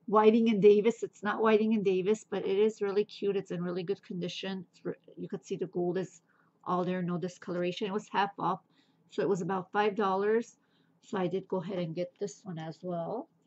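The voice moves at a fairly quick pace with monotone, flat intonation. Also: woman. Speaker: thrift reseller. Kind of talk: casual haul vlog chat. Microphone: phone near.

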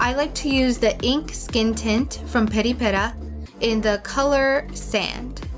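Over music in the background, a woman speaks with audible room echo. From Mexican-American. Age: 20s. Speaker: beauty vlogger. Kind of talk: tutorial. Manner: scripted voiceover.

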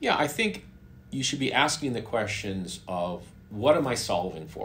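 Over light background noise, a man with fairly low pitch speaks with lively intonation. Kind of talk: interview answer. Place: home room.

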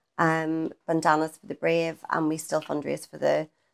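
This woman has a normal speaking voice. Her pitch is fairly low, and she moves at a moderate pace. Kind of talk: interview answer. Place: home room.

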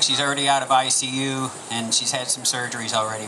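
Light background noise can be heard as a man talks. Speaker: pastor giving announcements. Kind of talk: church announcements. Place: stage. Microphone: handheld.

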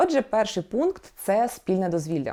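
Recorded very cleanly with a silent background, a woman speaks at medium pitch with a dark, mellow tone. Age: 30s. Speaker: vlogger, new mother. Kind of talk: personal vlog monologue.

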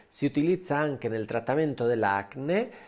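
Against a quiet background, a man speaks with a Spanish accent. His pitch is fairly high and his intonation lively. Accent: Spanish accent in Italian. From Spain. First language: Spanish (speaking Italian). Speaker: cosmetic surgeon and skincare YouTuber; skincare YouTuber. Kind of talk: skincare tutorial; casual vlog tutorial. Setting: at home. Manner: animated. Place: home room. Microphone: lapel.

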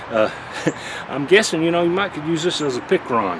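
Noticeable noise fills the background. Over it, a man speaks fairly fast. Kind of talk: casual tutorial vlog chat. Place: garden.

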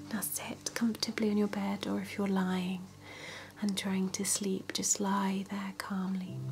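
Soft-spoken, a woman talks at a very slow pace. There is light background noise. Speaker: relaxation guide. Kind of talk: soft guided relaxation, ASMR-style. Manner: soft, hushed ASMR bedtime voice. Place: home room.

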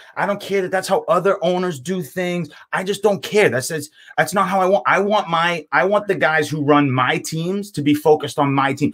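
A moderate pace with ordinary pitch variation. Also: man, high pitch for a man. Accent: American. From Boston, US. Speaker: podcast panelist. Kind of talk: casual chat. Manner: heated, loud rant.

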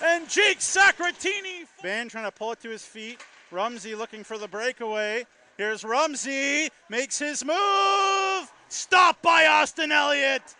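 With a raised, projected voice, the speaker moves at a fairly slow pace through very wide pitch swings and big swings in loudness, in a dry, close sound with no echo and noticeable background noise. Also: man, extremely high pitch for a man. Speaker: hockey play-by-play announcer. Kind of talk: live sports commentary.

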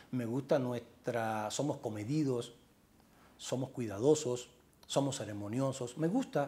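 A man with a slight Cuban accent speaks at a fairly slow pace in a dark, mellow, somewhat breathy tone with fairly even intonation. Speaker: journalist and author; journalist. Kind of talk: interview. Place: home room. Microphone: lapel.

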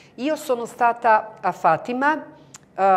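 A woman speaks with a Croatian accent. Her intonation is lively. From Bosnia and Herzegovina (Medjugorje area); Bosnia and Herzegovina. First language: Croatian (speaking Italian). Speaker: pilgrim guide. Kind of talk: interview; interview answer. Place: studio.

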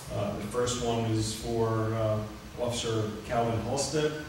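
Amid noticeable background noise and strong room echo, a man speaks in a monotone, flat intonation. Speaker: police official giving report. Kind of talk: formal report at public meeting. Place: meeting room.

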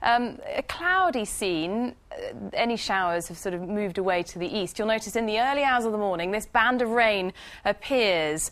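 A woman with a medium pitch and a fairly bright tone talks at a moderate pace with few pauses and lively intonation.

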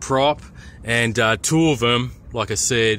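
The speaker is a man. The sound is dry with no echo, over light background noise. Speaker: hobby drone reviewer. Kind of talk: casual review narration. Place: open country. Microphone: phone near.

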